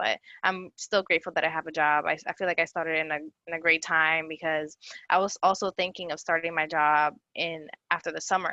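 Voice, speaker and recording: Over a quiet background, a woman speaks at a fairly quick pace with a fairly low pitch and a bright, sharp tone. Her intonation is monotone and flat, and the sound is dry and close with no echo. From abroad, moved to US at 17. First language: not English. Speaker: young professional, panelist. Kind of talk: panel discussion. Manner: halting.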